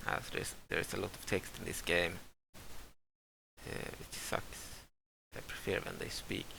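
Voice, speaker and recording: Speaking at a fairly slow pace, a man with a non-native accent has a bright, sharp tone. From Sweden. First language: Swedish. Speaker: video game let's player. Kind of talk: gameplay commentary with reading game text aloud. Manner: halting, many fillers.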